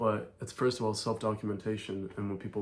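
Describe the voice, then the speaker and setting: With fairly even intonation, a man talks at a moderate pace and a fairly low pitch. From Ireland. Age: 20s. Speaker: vlogger and entrepreneur. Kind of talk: casual vlog monologue.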